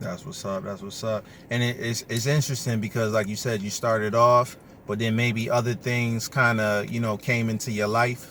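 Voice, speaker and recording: A man talks at a moderate pace. His medium pitch keeps a fairly even intonation. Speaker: podcast host. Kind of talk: interview. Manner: loud.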